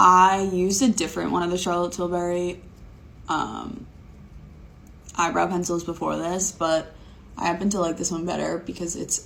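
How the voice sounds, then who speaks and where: Woman with a fairly low, flat, monotone voice at a moderate pace. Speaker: beauty content creator. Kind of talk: makeup tutorial vlog. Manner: casual, filler-heavy.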